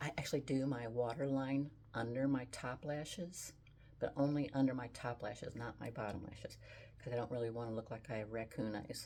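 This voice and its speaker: With a very deep, low pitch and vocal fry, a woman speaks in a dark, mellow, relaxed tone at a moderate pace, leaving long, frequent pauses. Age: 70s. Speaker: beauty and style vlogger. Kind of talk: makeup tutorial. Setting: home photography studio. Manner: casual, relaxed.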